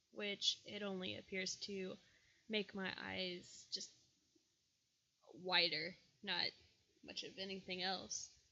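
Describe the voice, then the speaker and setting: Using a medium pitch, a woman speaks very slowly in a flat monotone with vocal fry and long, frequent pauses. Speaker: makeup tutorial vlogger. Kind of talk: tutorial. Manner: casual, chatty.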